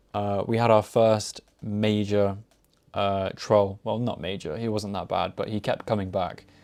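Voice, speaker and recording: A man talks at a fairly slow pace in a fairly low voice. His intonation is monotone and flat, and the background is quiet. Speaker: study stream host. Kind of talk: casual live stream chat. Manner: slow, halting.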